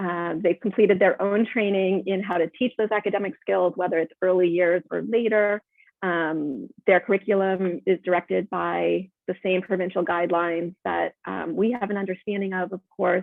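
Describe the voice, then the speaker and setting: The speech moves at a moderate pace with hardly any pauses and fairly even intonation. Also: woman, medium pitch for a woman. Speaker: Montessori educator. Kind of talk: webinar presentation. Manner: hesitant, many fillers.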